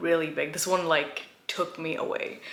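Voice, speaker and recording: A woman with an American accent speaks at a fairly low pitch. Her pace is moderate, and background noise is noticeable. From India, then small-town US from age seven. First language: Gujarati. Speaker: lifestyle YouTuber. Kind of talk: personal vlog storytelling. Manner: casual, many fillers like um and like.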